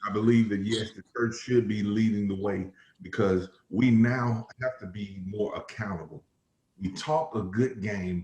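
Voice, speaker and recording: The man speaks at a fairly slow pace with a fairly low pitch. His voice is somewhat breathy, with ordinary pitch variation. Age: 40s. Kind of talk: panel discussion. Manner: animated.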